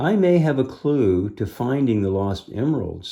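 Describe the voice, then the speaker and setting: Using a put-on character voice at medium pitch, a man speaks at a moderate pace. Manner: nervous.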